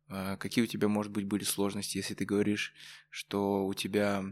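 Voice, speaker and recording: Fairly quick pace on a very clean recording, background silent. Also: man. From Kazakhstan, Karaganda. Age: young. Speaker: student podcast host. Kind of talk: casual interview.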